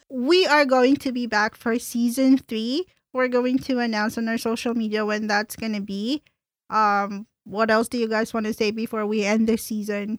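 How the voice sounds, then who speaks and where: Recorded with a dry, close sound and no echo, a woman speaks fairly high in pitch at a moderate pace, her intonation fairly even. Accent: Filipino. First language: Tagalog. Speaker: podcast host. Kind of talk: casual chat.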